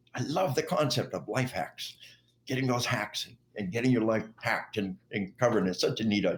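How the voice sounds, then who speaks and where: Somewhat breathy, a man with an American accent talks at a fairly quick pace. His pitch is medium and his intonation lively. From Arkansas, US South. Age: 60s. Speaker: retired army officer and author. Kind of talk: interview.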